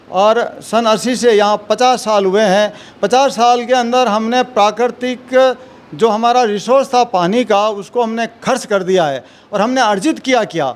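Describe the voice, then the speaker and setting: A man talks with a high pitch and ordinary pitch variation. Noticeable background noise can be heard. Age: 60s. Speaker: retired civil servant. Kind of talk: interview.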